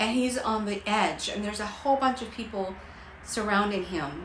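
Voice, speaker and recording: Amid noticeable background noise and audible room echo, a woman at medium pitch speaks at a moderate pace in an animated tone. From Costa Rica. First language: Spanish. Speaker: life coach. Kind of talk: livestream motivational talk. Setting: livestream.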